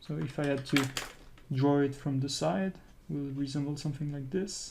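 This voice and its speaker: With a French accent, the speaker keeps to a moderate pace. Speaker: art instructor. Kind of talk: tutorial. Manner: halting, with repetitions.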